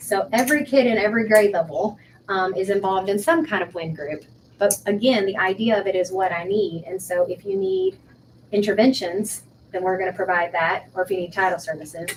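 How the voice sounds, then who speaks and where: A woman at a fairly quick pace, medium pitch with ordinary pitch variation, a plain, everyday voice. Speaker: school principal. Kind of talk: school meeting report.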